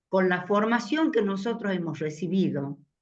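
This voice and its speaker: A woman's medium-pitched voice at a fairly slow pace, very wide pitch swings, audible room echo. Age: 80s+. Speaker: elderly participant in a faith community meeting. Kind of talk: group discussion reflection.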